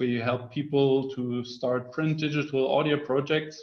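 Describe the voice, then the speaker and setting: A man speaks at a fairly slow pace with ordinary pitch variation. Behind him, the background is quiet. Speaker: webinar co-host. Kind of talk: webinar introduction. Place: home room. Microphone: webcam.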